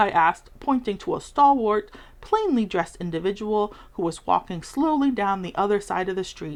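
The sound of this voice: Someone reads in an unforced voice, the intonation moving in a lively way.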